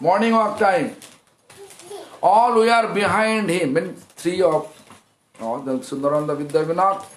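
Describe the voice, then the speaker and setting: Loud, high-pitched man's voice with lively intonation, long, frequent pauses and audible room echo. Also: moderate pace. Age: 50s. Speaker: monk preacher. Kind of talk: sermon.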